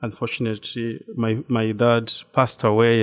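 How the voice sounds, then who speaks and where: Medium pitch from a man, at a fairly slow pace. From Rwanda. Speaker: religious brother. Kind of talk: interview. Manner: halting.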